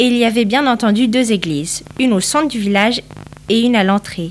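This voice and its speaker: A woman's fairly high voice moves at a moderate pace, pitch varying ordinarily, while noticeable background noise runs beneath. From northern Portugal. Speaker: interviewee, immigrant. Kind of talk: interview answers.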